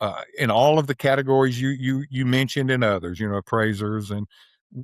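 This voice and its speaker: The speaker is a man. The pitch of his voice shifts in an ordinary way. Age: 60s. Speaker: rural land broker and investor. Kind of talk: podcast interview. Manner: casual, halting with many restarts.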